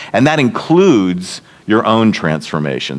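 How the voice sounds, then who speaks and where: A man speaks at a fairly low pitch with very wide pitch swings. Noticeable background noise runs behind him. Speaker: seminary leader and leadership speaker. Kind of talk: workshop lecture. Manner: fast.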